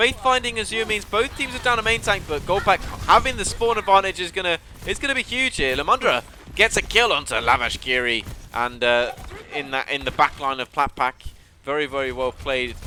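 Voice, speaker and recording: Over noticeable background noise, a speaker with a southern English accent moves at a fairly quick pace in an animated tone, swinging very widely in pitch. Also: man, high pitch for a man. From southern England. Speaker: esports caster. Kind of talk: live commentary. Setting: live stream.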